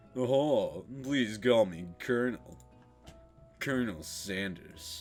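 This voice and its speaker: A man does a put-on character voice at a medium pitch and a very slow pace. Faint music plays in the background. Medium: game stream. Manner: smooth, polite.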